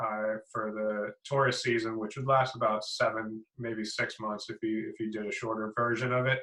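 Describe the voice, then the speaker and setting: Speaking with an American accent, a man keeps his medium-pitched voice monotone and flat. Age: 30s. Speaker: app developer and online course founder. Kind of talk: interview. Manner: halting, many fillers and repeats.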